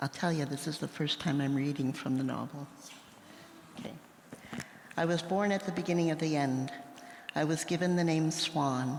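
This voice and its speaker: Speaking with a Western Canadian accent, a woman uses a very deep, low pitch and fairly even intonation at a moderate pace, with long, frequent pauses and audible room echo. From Saskatchewan, Canada. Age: 60s. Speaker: novelist. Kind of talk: live interview. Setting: stage with audience.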